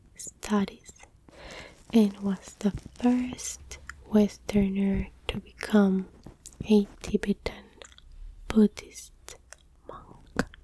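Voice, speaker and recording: Someone whispers softly in a non-native accent. The pace is very slow, with long, frequent pauses. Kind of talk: ASMR fact reading, soft spoken. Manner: soft-spoken, whispered.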